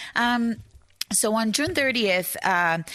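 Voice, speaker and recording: With a Brazilian accent, a woman speaks in a bright, sharp tone with ordinary pitch variation on a very clean recording with a silent background. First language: Portuguese. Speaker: journalist and author. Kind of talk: author talk. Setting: bookstore with live audience. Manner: halting, many fillers.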